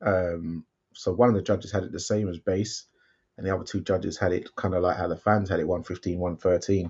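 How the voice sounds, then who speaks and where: A man with a London accent talks at a fairly quick pace against a quiet background. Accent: English (London), remarked on by a viewer. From London, England. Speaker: boxing watchalong co-host. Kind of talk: casual live-stream chat. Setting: live stream watchalong.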